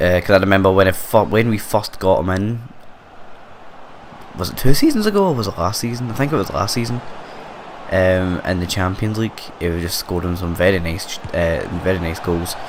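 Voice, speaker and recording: Over noticeable background noise, a man in a Scottish accent speaks fairly quickly with a fairly low pitch and fairly even intonation. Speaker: gaming YouTuber. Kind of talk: gameplay commentary, casual chat. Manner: quiet, hesitant with fillers.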